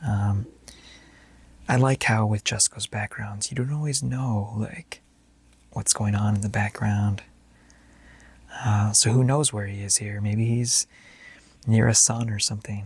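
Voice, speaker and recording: In a relaxed tone, a man speaks at a fairly low pitch, somewhat breathy, with fairly even intonation and long, frequent pauses. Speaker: ASMR channel host, comic card collector. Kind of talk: casual talk to camera, ASMR card review. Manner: soft-spoken, relaxed.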